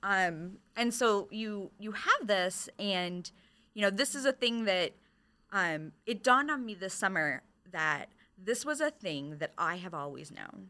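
A woman speaks at a medium pitch and a fairly slow pace, with lively intonation. It is an unremarkable speaking voice. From Michigan. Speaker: librarian. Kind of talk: casual chat.

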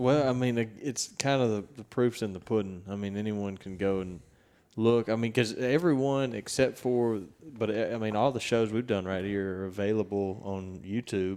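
With a Southern US accent, a man speaks at a moderate pace in a dark, mellow tone, his fairly low pitch showing ordinary variation. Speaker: podcast host and turkey hunter. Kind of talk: podcast intro and outro, casual chat. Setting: on location at a ranch. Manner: animated, talks with hands.

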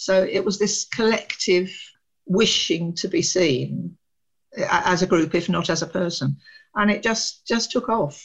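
A woman with a British accent speaks at a medium pitch. Her intonation is lively, and her voice is somewhat breathy. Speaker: academic researcher. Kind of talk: interview. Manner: animated.

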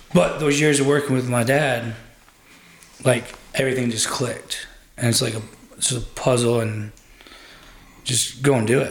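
An American accent at a moderate pace, with long, frequent pauses, noticeable background noise and audible room echo. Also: man, medium pitch for a man, fairly even intonation. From Michigan, then North Carolina from age 15. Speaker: plumbing project manager. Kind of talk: casual chat.

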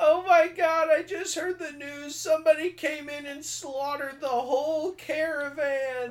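A put-on character voice moves at a moderate pace with hardly any pauses. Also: woman, high pitch for a woman. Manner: distraught, tearful.

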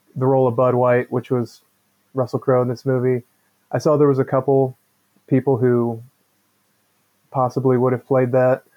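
Long, frequent pauses break up a man's moderately paced speech, delivered with monotone, flat intonation. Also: medium pitch for a man. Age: 40s. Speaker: podcast co-host. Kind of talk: casual chat.

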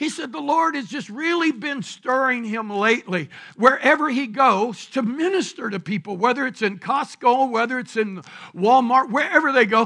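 Speaking in a Southern US accent, a man uses an extremely high pitch and a bright, sharp tone with lively intonation. His voice is raised and projected, at a moderate pace. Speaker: pastor. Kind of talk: sermon. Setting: church.

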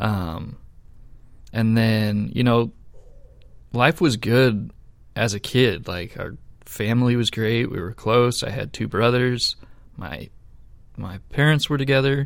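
Speaking at a very slow pace with long, frequent pauses, a man keeps a medium pitch and ordinary pitch variation. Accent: American. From Idaho, US (Boise). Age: 30s. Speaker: church volunteer and security guard. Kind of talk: testimony.

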